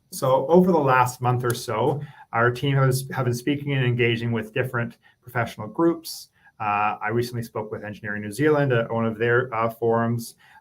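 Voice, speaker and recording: A man with a Canadian accent has a plain, everyday voice at a medium pitch. He talks at a fairly quick pace with ordinary pitch variation. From Canada. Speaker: government policy advisor. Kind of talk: presentation.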